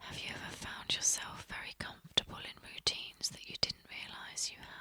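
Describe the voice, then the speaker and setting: Whispering at a fairly quick pace in a calm tone, a woman's voice shows big swings in loudness against noticeable background noise. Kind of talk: ASMR whisper video of reflective 'have you ever' prompts. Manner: soft-spoken, calm, whispered.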